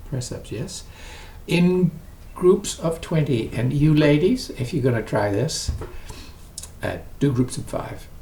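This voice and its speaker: A man speaks fairly slowly in a dark, mellow, somewhat breathy tone with ordinary pitch variation. Audible room echo surrounds the voice. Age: 80s+. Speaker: exercise vlogger. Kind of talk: casual vlog talk to camera. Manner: conversational, with hesitations.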